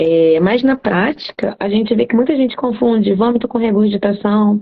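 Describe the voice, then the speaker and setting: The voice carries a Carioca accent with ordinary pitch variation. Its loudness stays very even. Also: woman, fairly high pitch for a woman, moderate pace. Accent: carioca (Rio de Janeiro) Portuguese. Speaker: cat veterinarian. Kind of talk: live stream talk, educational. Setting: live stream.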